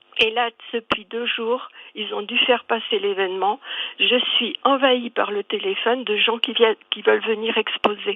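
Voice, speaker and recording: Over noticeable background noise, a woman with a fairly high voice speaks at a moderate pace, her pitch varying in an ordinary way. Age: 70s. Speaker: caller, castle owner and association founder. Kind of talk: call-in radio interview. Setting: phone call to radio studio. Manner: halting.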